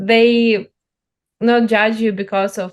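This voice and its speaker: A woman speaks with a Ukrainian accent at a fairly high pitch. Her pace is very slow and her intonation fairly even. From central-east Ukraine. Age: young. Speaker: journalist. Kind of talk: interview. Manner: halting, many fillers.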